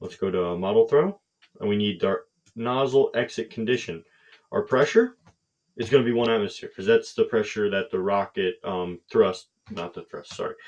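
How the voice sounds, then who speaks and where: A man speaks at a moderate pace, his loudness rising and falling in big swings. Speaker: hobbyist engineering youtuber. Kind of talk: tutorial. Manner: casual, hesitant with fillers.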